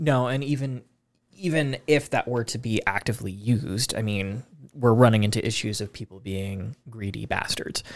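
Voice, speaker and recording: Here is a plain, everyday voice with an American accent. It moves at a moderate pace with ordinary pitch variation. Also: man, medium pitch for a man. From US, Spokane, Washington. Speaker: podcast host. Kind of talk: casual chat.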